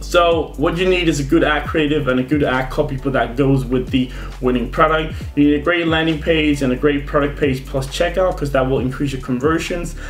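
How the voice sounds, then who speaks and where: Amid noticeable background noise and audible room echo, a man speaks at a fairly high pitch with fairly even intonation. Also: fairly quick pace. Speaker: e-commerce marketing youtuber. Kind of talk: tutorial. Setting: screen recording at computer. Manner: fast; casual.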